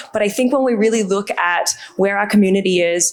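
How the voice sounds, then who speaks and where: Delivered at a moderate pace in an Australian accent, the speech has fairly even intonation against noticeable background noise. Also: woman. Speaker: brand communications executive. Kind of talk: panel discussion.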